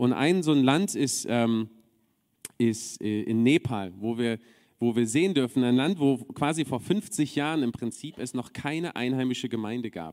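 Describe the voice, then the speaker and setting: Speaking at a fairly slow pace, a man with an unremarkable speaking voice keeps a medium pitch and lively intonation. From Berlin, Germany. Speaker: preacher. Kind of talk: sermon.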